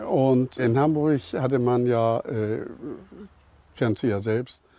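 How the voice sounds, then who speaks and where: Ordinary pitch variation shapes a voice with a dark, mellow tone. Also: man. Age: old. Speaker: camper. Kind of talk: casual chat.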